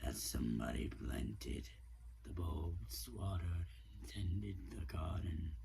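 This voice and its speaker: A man performs a put-on character voice at a fairly slow pace. Clear background noise runs under the speech. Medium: solo performance. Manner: soft, reflective.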